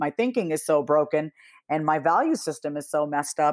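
An animated woman with an American accent and lively intonation, on a very clean recording with a silent background. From US Northeast, Long Island, New York. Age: 30s. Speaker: therapist and business strategist. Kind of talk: casual interview.

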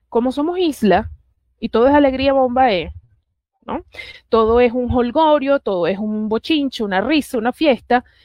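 A woman speaks at a moderate pace, her high pitch paired with lively intonation. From Puerto Rico. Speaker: political analyst. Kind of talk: political talk show interview.

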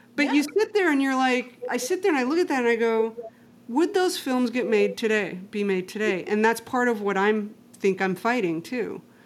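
A woman speaks at a moderate pace with a fairly high pitch. Her pitch swings very widely, and there is noticeable background noise. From Mexico. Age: 50s. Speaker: podcast host. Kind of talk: casual chat.

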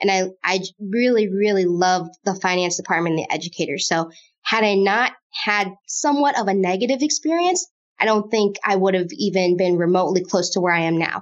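A normal speaking voice from a woman with an American accent, medium in pitch, with ordinary pitch variation, very even loudness and a fairly quick pace. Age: 20s. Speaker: financial planner. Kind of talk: interview.

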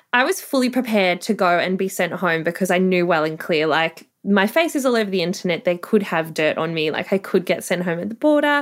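A woman with an Australian accent speaks at medium pitch and a fairly quick pace, with lively intonation and hardly any pauses, on a very clean recording with a silent background. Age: 30s. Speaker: sex worker. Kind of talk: interview. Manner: upbeat.

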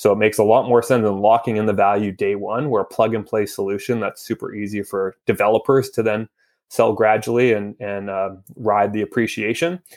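A male voice with a Canadian accent, a normal speaking voice, fairly low in pitch, fairly quick in pace and fairly even in intonation. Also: very clean recording, silent background. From Vancouver, Canada. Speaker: startup founder. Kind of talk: interview.

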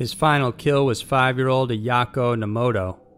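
The speech has ordinary pitch variation, with music playing in the background. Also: man. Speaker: video narrator. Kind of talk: true-crime narration, scripted. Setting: online video. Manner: grim, steady, matter-of-fact; measured, formal.

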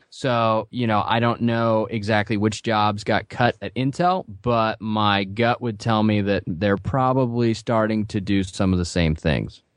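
In an unremarkable speaking voice, a man talks at a fairly slow pace with hardly any pauses, his fairly low pitch showing ordinary variation, over a quiet background with a dry, close sound with no echo. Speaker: real estate podcast co-host and small builder. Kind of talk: casual interview chat.

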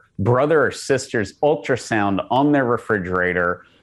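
A man talks at a moderate pace with lively intonation in an ordinary speaking voice. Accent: American. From Texas. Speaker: pro-life organization leader. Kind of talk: podcast interview.

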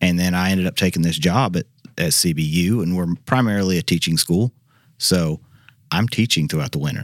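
A man with a Southern US accent and a very deep, low pitch talks at a fairly quick pace with ordinary pitch variation, in a dry, close sound with no echo. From Arkansas. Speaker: professor. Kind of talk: interview. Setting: studio.

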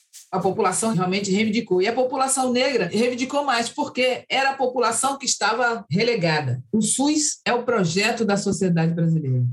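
A woman's fairly high, somewhat breathy voice with lively intonation, at a fairly quick pace with hardly any pauses. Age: 60s. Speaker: activist and human rights director. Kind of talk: interview.

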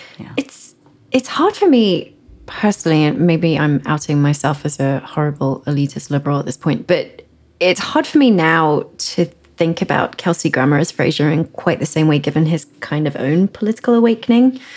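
Speaking with an English accent, a woman with a very deep, low pitch moves at a moderate pace with lively intonation. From England. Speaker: culture staff writer. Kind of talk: casual chat.

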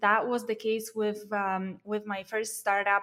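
A woman speaks with a Polish accent. Her voice is fairly high and her pace fairly slow. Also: very clean recording, silent background. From Poland. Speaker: startup founder, content marketing agency owner. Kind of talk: interview.

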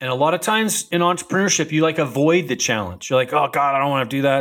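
A man with a fairly high pitch talks at a very fast pace with hardly any pauses and ordinary pitch variation. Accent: American. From Utah, US. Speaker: chiropractor and wellness tech founder. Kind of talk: casual interview.

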